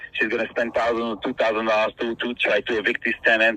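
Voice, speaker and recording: Over noticeable background noise, a man with a non-native accent talks at a fairly quick pace. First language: not English. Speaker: property owner in a dispute. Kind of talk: phone call negotiation. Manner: halting, many repetitions.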